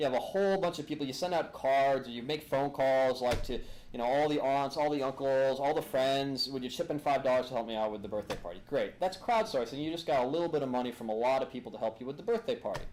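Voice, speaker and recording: A man at fairly high pitch, with ordinary pitch variation and a very fast pace. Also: hardly any pauses. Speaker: attorney and lecturer. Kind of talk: lecture. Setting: room with live audience, filmed. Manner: animated.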